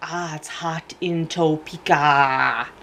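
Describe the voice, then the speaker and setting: A put-on character voice sits at a middle pitch. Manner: cartoonish, exaggerated.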